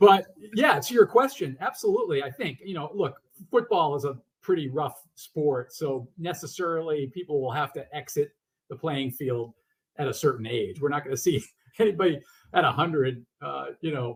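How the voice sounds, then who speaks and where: The voice is somewhat breathy, moving at a moderate pace with lively intonation and big swings in loudness. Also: man, fairly high pitch for a man. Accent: American. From Massachusetts. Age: 60s. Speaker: author. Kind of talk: interview. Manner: halting.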